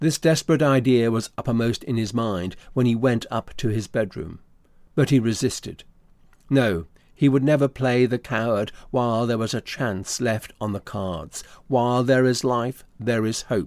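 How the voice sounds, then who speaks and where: On a very clean recording with a silent background, a man speaks in a normal speaking voice. His pitch is medium, with ordinary pitch variation, at a moderate pace. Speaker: narrator. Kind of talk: literary audiobook narration. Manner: measured, formal, steady storytelling pace.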